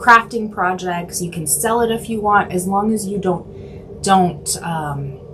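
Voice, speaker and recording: Fairly slow speech with ordinary pitch variation and noticeable background noise. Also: woman. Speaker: art instructor. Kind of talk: live drawing tutorial. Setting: livestream. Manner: halting.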